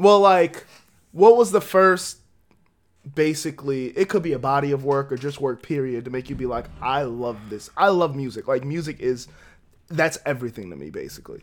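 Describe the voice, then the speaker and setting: Recorded very cleanly against a silent background, a man with an American accent and an ordinary speaking voice talks at a moderate pace with a fairly high pitch and lively intonation. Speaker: podcast host. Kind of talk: casual chat.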